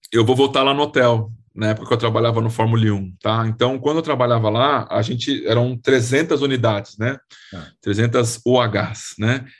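A man speaks at a moderate pace with a medium pitch, fairly even intonation and a somewhat breathy quality. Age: 30s. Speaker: real estate investment fund specialist. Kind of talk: interview.

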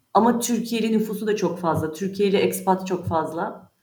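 A woman's normal speaking voice at a moderate pace, with ordinary pitch variation. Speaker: insurance specialist. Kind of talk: interview.

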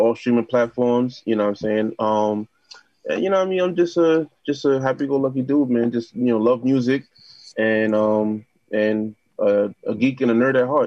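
With a New York accent, a man talks at a moderate pace using ordinary pitch variation. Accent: New York City. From Queens, New York City. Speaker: DJ, producer and podcast host. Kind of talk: casual chat.

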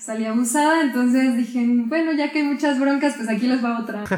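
A woman's high voice with ordinary pitch variation comes through with audible room echo. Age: 20s. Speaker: photographer. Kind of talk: interview. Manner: calm, soft-spoken.

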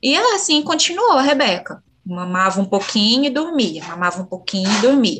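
Her pitch is fairly high and makes very wide swings as this woman speaks at a moderate pace. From Minas Gerais, Brazil (Bambuí). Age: 40s. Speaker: mother sharing breastfeeding story. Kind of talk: personal testimony in interview. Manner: halting, many fillers.

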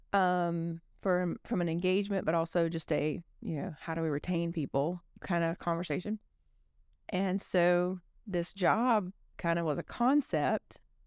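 A woman with a Southern US accent, a fairly low pitch and a fairly slow pace. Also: ordinary pitch variation, dry, close sound with no echo, very clean recording, silent background. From US South, South Alabama. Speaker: construction company executive. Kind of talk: casual interview.

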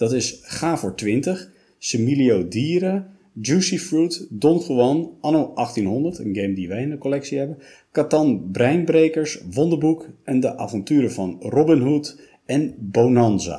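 A man's dark, mellow voice at medium pitch, lively intonation, a fairly slow pace and few pauses.

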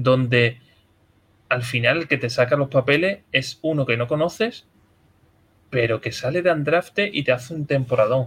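A man speaks at a moderate pace with a fairly high pitch, ordinary pitch variation, and long, frequent pauses. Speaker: podcast host. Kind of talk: casual chat.

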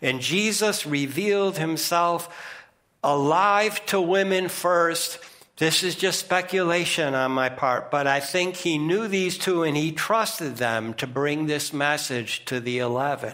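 Speaking very slowly with an American accent, a man uses a high pitch and a bright, sharp tone, with ordinary pitch variation and very even loudness. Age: 60s. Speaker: preacher. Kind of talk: sermon. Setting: church.

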